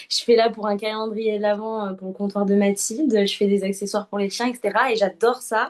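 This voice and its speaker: A woman at a medium pitch, fairly quick pace with hardly any pauses, in a monotone, flat intonation. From southern France. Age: 20s. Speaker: UGC content creator. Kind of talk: interview. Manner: hesitant, many fillers.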